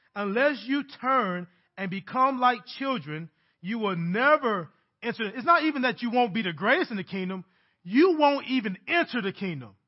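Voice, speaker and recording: A man's extremely high voice with very wide pitch swings, at a moderate pace. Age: 30s. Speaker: pastor. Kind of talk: sermon.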